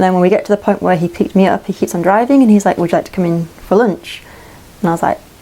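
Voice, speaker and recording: Speaking at a very fast pace in an English accent, a woman has a dark, mellow tone and a medium pitch with ordinary variation. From England. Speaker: vlogger, hiker and traveller. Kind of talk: casual storytelling. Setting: indoors by a wood stove in a tiny house.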